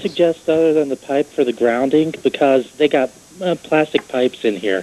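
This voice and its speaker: Here a man speaks at a moderate pace and a fairly high pitch, with ordinary pitch variation. His loudness stays very even, and the sound is dry and close with no echo. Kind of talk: caller on live TV call-in show.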